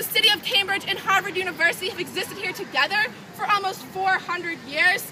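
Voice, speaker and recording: Crowd noise fills the background. The speaker talks at a fairly quick pace with an American accent. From Boston area, US. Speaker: student tour guide. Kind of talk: guided campus tour.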